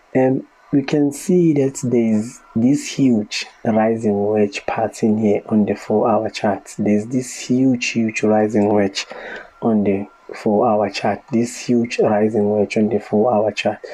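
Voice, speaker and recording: Over noticeable background noise, the speech unfolds at a very slow pace. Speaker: market analyst. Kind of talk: tutorial. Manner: hesitant with fillers.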